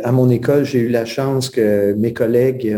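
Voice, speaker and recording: Here a man speaks with a dark, mellow tone at a medium pitch. His intonation is fairly even and his pace fairly slow. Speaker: teacher and author. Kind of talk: interview.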